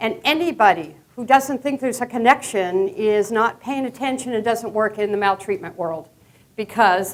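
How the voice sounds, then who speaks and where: Fairly high female speech, moderately paced, with ordinary variation in pitch. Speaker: professor. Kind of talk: lecture. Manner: casual, filler-heavy.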